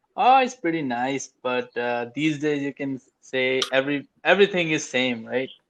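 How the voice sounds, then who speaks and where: A man with a slight Indian accent and a fairly high pitch speaks at a moderate pace, using ordinary pitch variation and hardly any pauses. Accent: very mild Indian. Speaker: English learner. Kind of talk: casual chat. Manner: halting.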